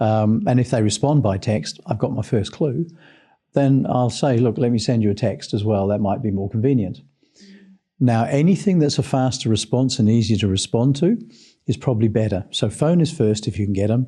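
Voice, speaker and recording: In a New Zealand accent, the speaker has a dark, mellow tone, a somewhat breathy quality, lively intonation and very even loudness at a moderate pace against a quiet background. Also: man, medium pitch for a man. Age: 60s. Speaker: sales trainer. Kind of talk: podcast interview.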